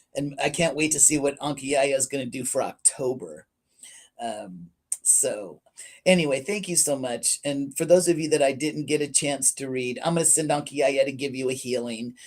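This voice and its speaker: A very clean recording against a silent background, at a moderate pace. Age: 60s. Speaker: psychic reader. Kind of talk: livestream reading session. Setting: livestream. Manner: casual, chatty.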